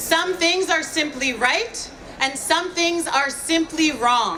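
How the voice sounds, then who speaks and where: Over crowd noise in the background, a woman uses a raised, projected voice at a very slow pace with lively intonation. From New York, Brooklyn. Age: 30s. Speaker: climate activist and marine biologist. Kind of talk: rally speech. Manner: loud.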